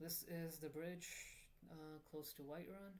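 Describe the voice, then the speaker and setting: The speech comes at a moderate pace, delivered with a non-native accent. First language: not English. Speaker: gaming video creator. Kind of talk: casual tutorial voiceover. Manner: halting, many fillers.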